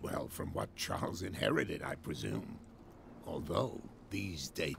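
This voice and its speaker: A man's put-on character voice, very deep and low, at a moderate pace with clear background noise. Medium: video game. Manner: measured, inquisitive.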